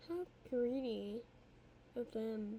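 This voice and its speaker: This woman speaks with ordinary pitch variation. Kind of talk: fan fiction read aloud.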